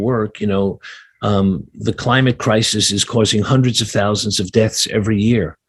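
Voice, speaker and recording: A man's fairly low voice with a New York accent, fairly even intonation and moderate pace against a quiet background. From New York City, Brooklyn. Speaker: sustainability adviser. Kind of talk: interview. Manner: halting, many fillers.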